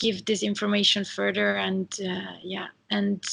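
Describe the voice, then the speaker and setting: A woman speaks with an Italian accent. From Italy. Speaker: interviewer. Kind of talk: interview.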